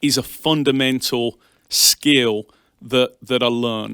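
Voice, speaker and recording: A man with an English accent speaks at medium pitch in a bright, sharp tone with fairly even intonation. The sound is dry and close, with no echo. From England, Birmingham. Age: 40s. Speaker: bank executive. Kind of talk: interview.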